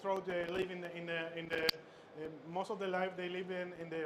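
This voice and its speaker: With noticeable noise behind him, a man speaks in a high pitch at a moderate pace, his intonation monotone and flat. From Chile. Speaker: chef instructor. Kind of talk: cooking demonstration. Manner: halting, many fillers and repetitions.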